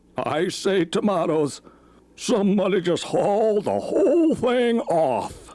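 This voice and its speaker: Speaking at a fairly slow pace, a man adopts a put-on character voice set at a high pitch. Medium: read story.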